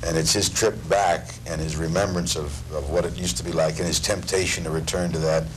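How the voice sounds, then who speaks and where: A man speaks at a fairly quick pace in a very deep, low pitch. His pitch varies in an ordinary way over light background noise. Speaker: actor, interviewee. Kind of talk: interview answer. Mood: warm, thoughtful. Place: studio.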